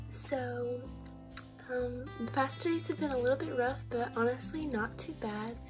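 The voice moves at a moderate pace while clear music plays in the background. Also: woman. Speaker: vlogger. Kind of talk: casual vlog chat. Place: home room. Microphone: phone near.

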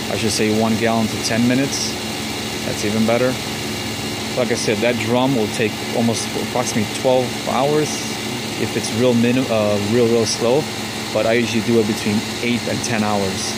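Over loud background noise, a man talks at a fairly quick pace in a dry sound with no echo. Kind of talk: tutorial. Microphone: phone near.

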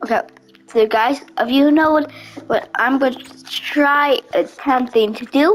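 A woman with a high voice mumbles at a fairly slow pace. Her pitch variation is ordinary, with music playing in the background. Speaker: gaming video creator. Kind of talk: gameplay commentary. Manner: mumbling; animated.

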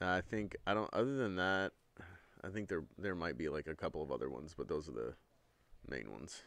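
Loud and very deep, a man's voice with vocal fry moves at a fairly quick pace, with very wide pitch swings and long, frequent pauses. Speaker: podcast co-host. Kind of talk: casual chat.

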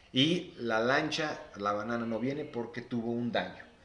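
Audible room echo surrounds a man speaking at a very slow pace with ordinary pitch variation. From Mexico. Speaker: financial advisor; guest. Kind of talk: live stream interview; interview answer. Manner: halting. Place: home room. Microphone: phone near.

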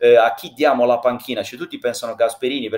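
The background stays quiet. A man talks. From Sardinia. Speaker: former football press officer, pundit; pundit. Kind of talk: casual chat.

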